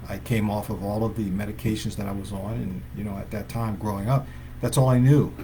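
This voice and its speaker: In a room with audible echo, a man with a fairly low pitch speaks at a fairly quick pace with lively intonation. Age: 60s. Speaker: chiropractor. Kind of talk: live stream talk to viewers. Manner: halting, many fillers.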